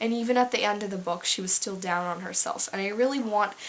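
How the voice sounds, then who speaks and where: Fairly quick speech from a woman over noticeable background noise. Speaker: book reviewer. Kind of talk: casual book review vlog. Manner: halting, many fillers.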